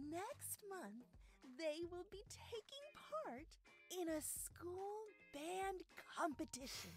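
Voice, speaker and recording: A cartoonish character voice at an extremely high pitch crawls along at a very slow pace. Long, frequent pauses break it up over clear background noise. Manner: exasperated.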